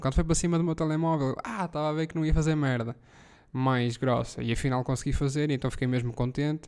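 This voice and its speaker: With a European Portuguese accent, a man talks very fast at medium pitch. His tone is dark and mellow, his intonation fairly even. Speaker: podcast host. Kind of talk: casual solo monologue. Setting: living room at home.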